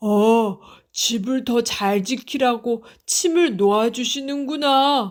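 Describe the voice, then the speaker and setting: Very slow and high-pitched, a woman's put-on character voice. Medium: read story. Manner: huffy, resentful.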